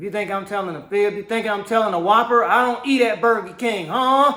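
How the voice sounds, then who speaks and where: Raised and projected, the voice moves at a fairly quick pace with an animated tone, ordinary pitch variation and big swings in loudness, with audible room echo and noticeable background noise. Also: man, high pitch for a man. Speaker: religious teacher. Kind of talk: sermon.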